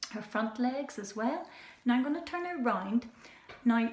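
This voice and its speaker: Over noticeable background noise, a woman talks with a fairly high pitch and ordinary pitch variation. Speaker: children's animal show presenter. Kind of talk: educational talk for children. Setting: indoors with animals at night. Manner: hesitant with fillers; soft-spoken, lowered voice.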